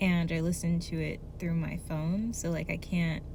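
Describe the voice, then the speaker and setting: A woman's dark, mellow, somewhat breathy voice at a fairly slow pace. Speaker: artist, vlogger. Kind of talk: casual talk to camera.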